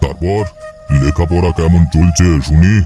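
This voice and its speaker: A man puts on a cartoonish character voice, very deep and low in pitch. His intonation is fairly even, and music plays in the background. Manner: fond, chatty, old-fashioned.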